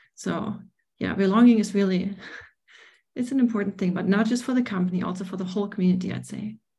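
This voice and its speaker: A woman with a dark, mellow, somewhat breathy voice talks at a very fast pace with fairly even intonation. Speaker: software product manager. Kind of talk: panel discussion. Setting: video call.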